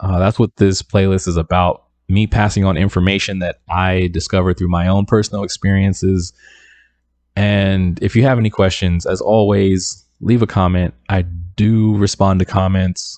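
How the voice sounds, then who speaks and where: Soft-spoken and monotone, a man with a very deep, low pitch talks at a moderate pace in a flat delivery. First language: not English. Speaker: independent music producer and YouTuber. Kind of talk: casual tutorial talk to camera.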